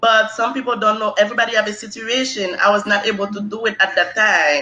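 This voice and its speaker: The speech comes in a Haitian accent. It moves at a fairly quick pace. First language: Haitian Creole. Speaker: nursing exam candidate. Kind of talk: interview.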